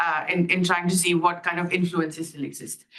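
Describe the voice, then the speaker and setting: A woman talks at a very fast pace and a fairly low pitch. Audible room echo surrounds her voice. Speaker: academic researcher. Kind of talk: conference talk. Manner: loud.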